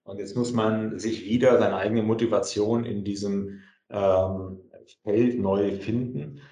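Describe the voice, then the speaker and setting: In audible room echo, a man with a dark, mellow tone talks at a very slow pace, his intonation fairly even but his loudness swinging widely. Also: fairly low pitch for a man. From Germany, Kassel (northern Hesse). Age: 40s. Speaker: entrepreneur. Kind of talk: interview.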